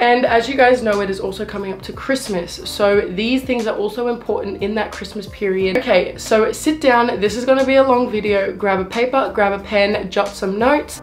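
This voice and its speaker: Over music in the background, a woman with an Australian accent talks fairly quickly with hardly any pauses, her fairly high pitch varying in an ordinary way. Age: 20s. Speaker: weight loss vlogger. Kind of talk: casual advice vlog.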